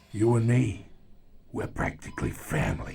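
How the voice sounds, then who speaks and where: A man uses a put-on character voice at a moderate pace, his pitch fairly low and his sound raspy. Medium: video game. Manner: mocking, sly.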